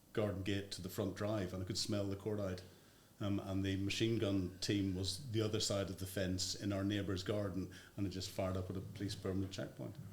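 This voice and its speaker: Flat, monotone intonation comes through over noticeable background noise. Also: man, fairly low pitch for a man. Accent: Northern Irish. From Northern Ireland. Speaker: former army officer. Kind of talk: interview answer.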